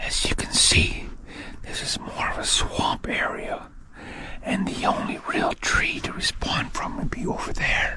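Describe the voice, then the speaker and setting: A man whispering at a fairly slow pace, with audible room echo and noticeable background noise. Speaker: outdoor vlogger. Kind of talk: outdoor vlog narration. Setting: outdoors in woods. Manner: stuttering, halting.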